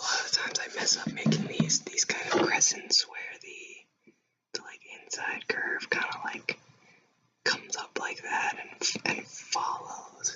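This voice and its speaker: A man whispering at a fairly slow pace. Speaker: illustrator. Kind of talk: ASMR drawing commentary. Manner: whispered.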